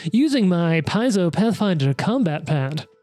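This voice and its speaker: A put-on character voice at a middle pitch. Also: moderate pace. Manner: salesy, promotional.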